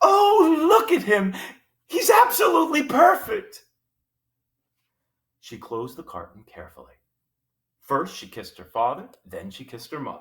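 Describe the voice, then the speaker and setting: Speaking at a moderate pace, a man leaves long, frequent pauses, and his loudness swings widely. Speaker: teacher. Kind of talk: children's book read-aloud with character voices.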